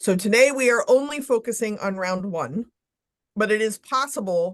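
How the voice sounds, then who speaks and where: This is a plain, everyday voice. Its pitch variation is ordinary. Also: woman. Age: 40s. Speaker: search committee chair. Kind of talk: business meeting. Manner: casual.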